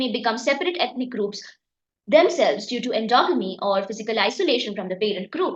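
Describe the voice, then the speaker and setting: Raising and projecting her voice, a woman speaks with lively intonation and a bright, sharp tone, audible room echo around her. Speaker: exam prep teacher. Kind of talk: lecture. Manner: halting, many fillers.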